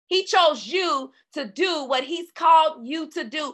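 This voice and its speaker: Against a quiet background, a woman projects a raised voice at an extremely high pitch with a bright, sharp tone. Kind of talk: faith-based teaching session. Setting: live online call recorded for podcast. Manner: runs out of breath while speaking.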